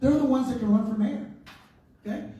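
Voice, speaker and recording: In an animated tone, a man speaks at a high pitch with ordinary pitch variation, with audible room echo around him. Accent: American. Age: 60s. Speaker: advocacy organization leader. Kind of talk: town hall speech. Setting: town hall meeting with audience.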